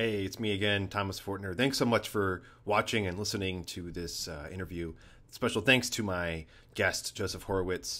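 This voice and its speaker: The recording is very clean, with a silent background. A man speaks with a fairly low pitch, ordinary pitch variation and a bright, sharp tone. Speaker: conductor and podcast host. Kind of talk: podcast outro. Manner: fast. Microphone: new microphone.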